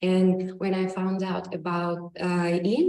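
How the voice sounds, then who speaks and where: A woman speaks at a very slow pace with a fairly low pitch. Audible room echo fills the recording. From Russia and Ukraine. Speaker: yoga teacher. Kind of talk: personal talk. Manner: halting.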